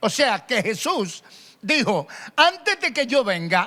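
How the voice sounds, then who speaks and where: A man speaks in a raised, projected voice with a bright, sharp tone. His pace is very slow. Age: 60s. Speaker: pastor. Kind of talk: sermon. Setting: radio broadcast and online stream.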